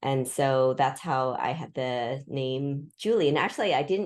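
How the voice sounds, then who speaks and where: With a West Coast accent, a woman speaks at a very deep, low pitch with ordinary pitch variation. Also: quiet background. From Pacific Northwest US, Seattle area. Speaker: historian. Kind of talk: interview conversation. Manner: halting, with repetitions.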